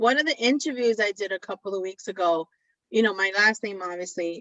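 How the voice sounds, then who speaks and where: With ordinary pitch variation, a woman talks in a medium pitch at a moderate pace. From New York, the Bronx; Puerto Rican family. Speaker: talk show co-host. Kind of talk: casual chat.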